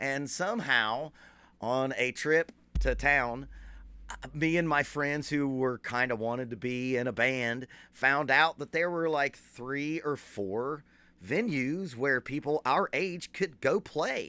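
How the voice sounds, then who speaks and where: A man with an Appalachian accent speaks at a fairly high pitch with ordinary pitch variation and a bright, sharp tone. The recording is very clean, with a silent background. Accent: Appalachian American. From southern West Virginia, Boone County. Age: 40s. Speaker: drummer and drum teacher. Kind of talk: casual talk to an audience.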